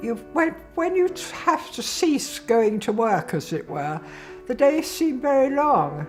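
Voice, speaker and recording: A woman with a British accent speaks at a very slow pace in a high voice with very wide pitch swings. Music plays in the background. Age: 80s+. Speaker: mature PhD student. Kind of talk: interview answer.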